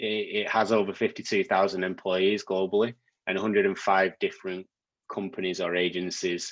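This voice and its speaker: A man with a British accent, very deep and low in pitch, in a dry, close sound with no echo. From UK. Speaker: technology executive. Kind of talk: guest lecture. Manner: hesitant, many fillers and repeats.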